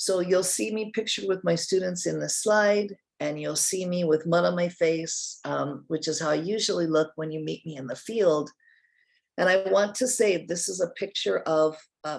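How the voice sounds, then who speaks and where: A woman speaks in a General American accent with an ordinary speaking voice, a fairly low pitch, ordinary pitch variation, and a moderate pace. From US West Coast, Oregon. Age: 60s. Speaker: nonprofit leader, retired science teacher. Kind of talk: guest presentation to a class.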